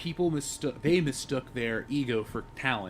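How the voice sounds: Lively intonation from a man at medium pitch and moderate pace.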